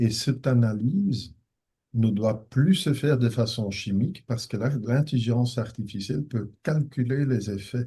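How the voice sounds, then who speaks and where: At a fairly slow pace, a man with a dark, mellow tone speaks somewhat breathily at a medium pitch with ordinary pitch variation. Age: 60s. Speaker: professor of ophthalmology, retina specialist. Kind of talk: conference Q&A. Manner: hesitant, with many fillers.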